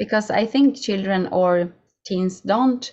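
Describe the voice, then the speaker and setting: Ordinary pitch variation in the voice of a woman. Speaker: podcast host. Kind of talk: podcast interview. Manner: halting.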